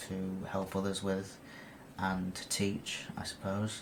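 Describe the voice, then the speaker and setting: Audible room echo surrounds a man talking at a fairly slow pace in a fairly low voice. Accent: British. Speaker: lucid dreaming video blogger. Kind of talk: casual talk to camera. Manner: halting, many fillers and repeats.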